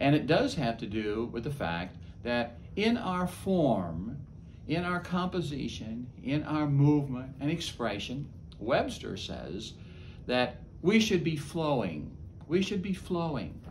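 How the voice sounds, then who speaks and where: A man talks very slowly at a fairly high pitch, with vocal fry and very wide pitch swings. Audible room echo surrounds his voice. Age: 70s. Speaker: chaplain. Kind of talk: talk to camera.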